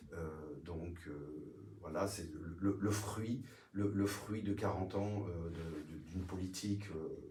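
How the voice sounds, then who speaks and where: In a room with audible echo, a man speaks with a very deep, low pitch, a dark, mellow tone, a somewhat breathy quality and fairly even intonation. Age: 60s. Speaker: retired municipal police officer, local political candidate. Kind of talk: political interview. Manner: halting, many hesitations.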